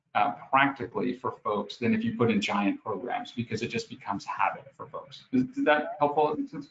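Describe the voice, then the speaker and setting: A man speaks with a New York accent. He barely pauses at all. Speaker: HR executive. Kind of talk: interview. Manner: fast; animated.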